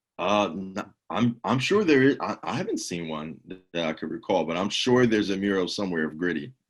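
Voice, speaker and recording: The speaker has a Philadelphia accent and lively intonation. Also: man. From Philadelphia, South Philly. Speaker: home cheesesteak cook. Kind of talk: casual chat.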